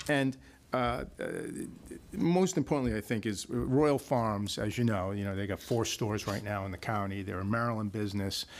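A man with a plain, everyday voice speaks at a moderate pace. His pitch is fairly low, and his intonation is lively. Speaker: attorney representing a developer. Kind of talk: public hearing presentation. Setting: county meeting room. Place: meeting room. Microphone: podium.

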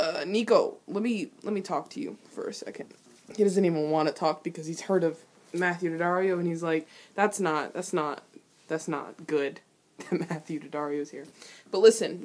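Her pitch is fairly low with ordinary variation. The woman keeps a moderate pace. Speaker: reaction vlogger. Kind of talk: casual reaction commentary. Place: home room. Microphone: webcam.

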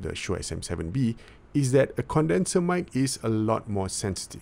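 This clip carries a man's voice. His speed is moderate. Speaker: tech reviewer. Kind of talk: product review demo. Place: home room. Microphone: studio mic.

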